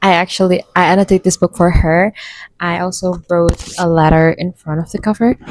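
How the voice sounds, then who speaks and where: A woman with an Indonesian accent speaks at a fairly quick pace and a medium pitch. The sound is dry and close, with no echo. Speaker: booktuber. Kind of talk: casual chat.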